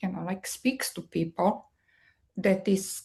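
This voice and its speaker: A woman's dark, mellow voice with vocal fry, a strong Serbian accent and a fairly slow pace. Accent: thick Serbian. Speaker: marketing executive. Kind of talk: podcast interview.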